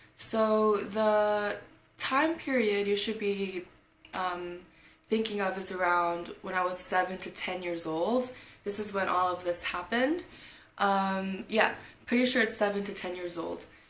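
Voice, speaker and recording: Fairly slow and at medium pitch, a woman speaks with ordinary pitch variation in audible room echo. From South Korea. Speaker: vlogger. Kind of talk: storytime vlog. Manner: casual, hesitant with fillers.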